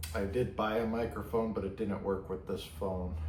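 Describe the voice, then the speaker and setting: A man mumbling amid audible room echo. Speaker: pipe tobacco reviewer. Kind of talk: casual product review vlog. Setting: garage.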